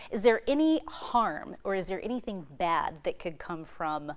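A woman with an American accent speaks at a fairly slow pace. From southeast Iowa. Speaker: TV news reporter. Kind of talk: TV news interview. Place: studio.

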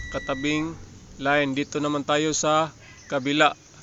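Against noticeable background noise, a man with a fairly high pitch speaks at a moderate pace in a monotone, flat intonation, the sound dry with no echo. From Philippines. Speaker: appliance repair vlogger. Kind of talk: tutorial. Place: workshop. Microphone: phone near.

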